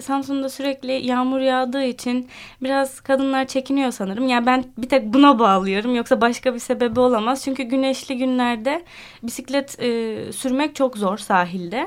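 This woman talks at a moderate pace with a high pitch and ordinary pitch variation. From Turkey (born Ankara). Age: 20s. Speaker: French teacher and cycling club founder. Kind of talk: radio interview. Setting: radio studio. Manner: hesitant, many fillers.

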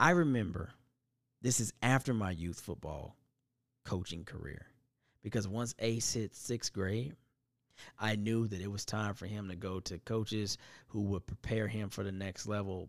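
A fairly low-pitched man with ordinary pitch variation and long, frequent pauses, in a dry, close sound with no echo and a very clean recording with a silent background. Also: moderate pace. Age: 40s. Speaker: podcast host. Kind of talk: casual monologue. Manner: animated.

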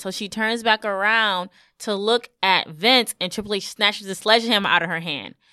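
Speaking with a New York accent, a woman has a bright, sharp tone and a moderate pace, captured dry and close with no echo on a very clean recording against a silent background. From Brooklyn, New York. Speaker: wrestling podcast host. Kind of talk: casual chat.

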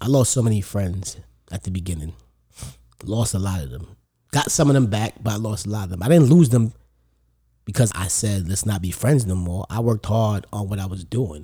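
A man's fairly low, dark, mellow voice, somewhat breathy, with lively intonation at a fairly quick pace, in a very clean recording with a silent background. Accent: New York. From New York. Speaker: comedian. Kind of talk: casual chat.

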